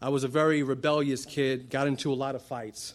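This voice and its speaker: A man's fairly high voice on a very clean recording with a silent background. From Brooklyn, New York; Puerto Rican family. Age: 30s. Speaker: church member. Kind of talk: testimony. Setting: church stage.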